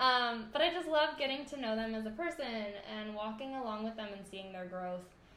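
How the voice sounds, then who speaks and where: Talking fairly quickly with hardly any pauses, a woman uses a fairly high pitch, lively intonation and big swings in loudness, with audible room echo and noticeable background noise. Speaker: voice graduate student and singer. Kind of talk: casual interview.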